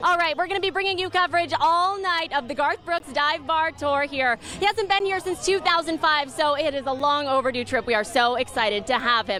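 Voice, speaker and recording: Over noticeable background noise, a high-pitched woman speaks in a raised, projected voice at a fairly quick pace, with lively intonation and hardly any pauses. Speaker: TV news anchor. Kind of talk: TV news anchor read. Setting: studio.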